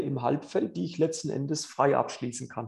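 A man speaks in a fairly high pitch. His voice is somewhat breathy, with a dark, mellow tone. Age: 40s. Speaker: tennis coach and podcast host. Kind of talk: casual interview with tips. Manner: animated.

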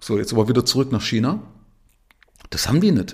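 Somewhat breathy, a man speaks at a medium pitch with very wide pitch swings. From Saxony, eastern Germany (Zwickau). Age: 50s. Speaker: podcast host and investor. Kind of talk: solo monologue podcast. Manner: casual, with frequent fillers.

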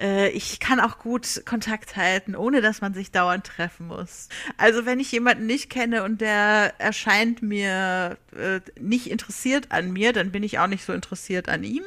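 Speaking at a fairly slow pace, a woman with a fairly high pitch and a bright, sharp tone uses ordinary pitch variation on a very clean recording with a silent background. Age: 30s. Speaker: social media and PR worker. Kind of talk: recorded self-introduction. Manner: talkative.

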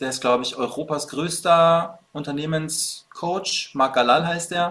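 A man speaks at a fairly slow pace with ordinary pitch variation. He has an ordinary speaking voice. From Bavaria, Munich. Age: 30s. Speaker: fitness coach. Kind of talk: casual interview chat.

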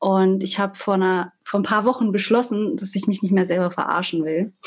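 Speaking in a plain, everyday voice, a woman holds a medium pitch and varies it in an ordinary way. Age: 20s. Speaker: social work student. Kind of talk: interview.

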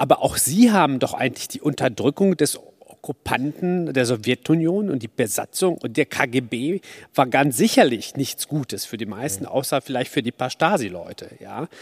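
This man has a plain, everyday voice with a fairly high pitch and lively intonation. He keeps a moderate pace, and the sound is dry and close with no echo. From Poland. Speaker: audience member. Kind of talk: audience question. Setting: stage with audience.

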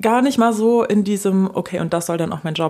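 A woman talks at a very fast pace with ordinary pitch variation amid noticeable background noise. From Germany, French-speaking parents. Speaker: singer in a jazz-pop duo. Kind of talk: casual interview chat. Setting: at the host's home.

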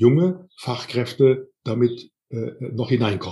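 A man at a very slow pace, somewhat breathy. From Rhineland, Siebengebirge near Bonn. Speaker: personnel development trainer. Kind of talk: interview. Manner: halting, many fillers.

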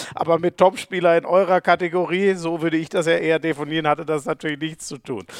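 Very fast and with hardly any pauses, a high-pitched man talks with fairly even intonation in a dry, close sound with no echo. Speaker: podcast host and handball commentator. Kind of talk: casual interview.

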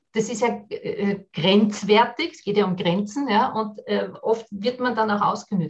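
A woman with an ordinary speaking voice, medium in pitch, fairly slow, with ordinary pitch variation. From Austria, Vienna. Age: 40s. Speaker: business consultant and workshop trainer. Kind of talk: podcast interview.

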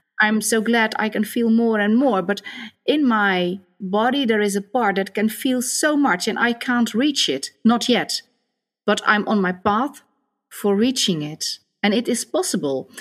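A woman speaks with a Dutch accent at a fairly high pitch, her intonation lively and her pace fairly slow. The recording is very clean, with a silent background. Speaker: psychosocial therapist. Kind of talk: interview conversation.

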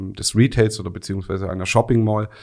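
A man in an ordinary speaking voice talks at a fairly low pitch with fairly even intonation. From Swabia, Remstal (Baden-Württemberg). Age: 40s. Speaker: video software industry expert. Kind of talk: expert interview.

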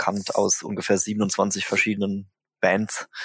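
Over a dry, close sound with no echo, a man with a fairly low pitch speaks at a very slow pace. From Germany, Mannheim. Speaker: drummer and singer in a band. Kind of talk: casual interview. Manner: hesitant, many fillers.

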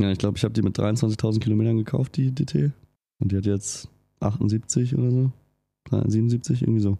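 A somewhat breathy voice with a dark, mellow tone moves at a moderate pace with ordinary pitch variation. The loudness is very even, broken by long, frequent pauses. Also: man, medium pitch for a man. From rural Germany. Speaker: motorcycle podcaster. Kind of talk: casual chat.

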